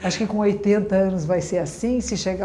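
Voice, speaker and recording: A woman speaks at a moderate pace in a dark, mellow tone with vocal fry, and the room echo is audible. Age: 60s. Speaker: Zen Buddhist nun. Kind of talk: dharma talk. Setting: room with audience, being filmed.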